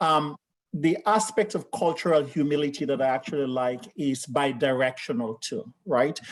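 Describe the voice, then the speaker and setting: Here, a man speaks in a Sierra Leonean accent at a moderate pace. His fairly high voice has lively intonation. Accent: West African (Sierra Leonean). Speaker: healthcare leader. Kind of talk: panel discussion.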